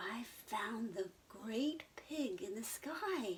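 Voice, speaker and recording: A female-sounding put-on character voice, fairly high in pitch, speaks at a very slow pace over clear background noise. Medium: read story. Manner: squealing, eager.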